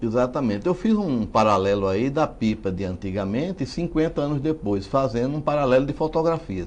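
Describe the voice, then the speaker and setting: At a fairly quick pace with hardly any pauses, a man of medium pitch makes very wide pitch swings. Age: 60s. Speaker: writer and genealogist. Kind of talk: interview.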